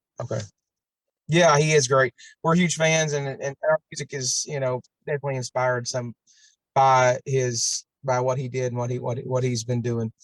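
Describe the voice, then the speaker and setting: The sound is dry and close, with no echo. A man with a medium pitch speaks with fairly even intonation and a somewhat breathy quality. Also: moderate pace. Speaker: bluegrass band member. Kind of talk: casual interview chat.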